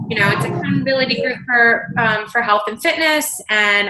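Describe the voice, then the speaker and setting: Noticeable background noise sits behind this woman's voice. She speaks at a fairly quick pace with a fairly high pitch. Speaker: fitness coach. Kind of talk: coaching conference call. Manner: fast.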